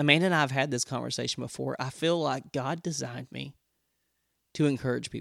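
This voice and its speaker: A man's animated, very fast speech at a medium pitch, with vocal fry and a dry, close sound with no echo. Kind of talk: personal storytelling with faith encouragement. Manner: fast talker; animated, humorous.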